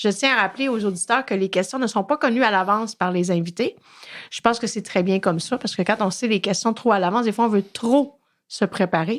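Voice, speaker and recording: Recorded very cleanly with a silent background, a woman speaks at a fairly quick pace in a medium pitch with ordinary pitch variation. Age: 40s. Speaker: podcast host and addiction therapist. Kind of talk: interview.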